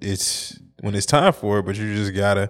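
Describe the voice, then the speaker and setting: Slowish and fairly low in pitch, a man talks at a fairly slow pace. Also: very clean recording, silent background. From US Midwest, St. Louis. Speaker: podcast co-host. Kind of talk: casual chat.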